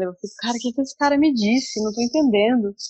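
A woman with a plain, everyday voice speaks at a fairly high pitch, her intonation lively. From Brazil, Brasília. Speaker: advertising copywriter. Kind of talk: interview. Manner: casual.

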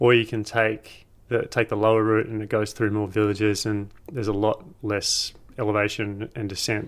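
Speaking with an Australian accent, a man uses a fairly low pitch and a moderate pace. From Australia (Tasmania). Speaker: hiker and video creator. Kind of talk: casual chat.

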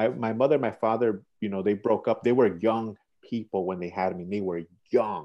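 A man with an American accent uses an ordinary speaking voice with fairly low pitch. He talks at a moderate pace with fairly even intonation. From Chicago, Little Village. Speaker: community peacemaker. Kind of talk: casual interview.

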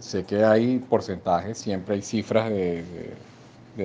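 The man's voice is dark and mellow. He talks at a fairly slow pace. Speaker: Venezuelan migrant interviewee. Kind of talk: street interview.

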